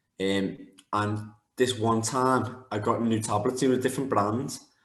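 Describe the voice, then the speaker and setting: Amid audible room echo, a man speaks at medium pitch with fairly even intonation. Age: 20s. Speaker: MMA fighter. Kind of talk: interview. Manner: fast.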